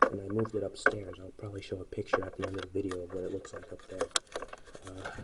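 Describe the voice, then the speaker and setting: Soft-spoken and fairly low-pitched, a man talks at a very fast pace in a flat monotone, his loudness swinging widely amid noticeable background noise. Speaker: ceiling fan hobbyist YouTuber. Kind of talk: casual video commentary. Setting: indoors, dark room at home.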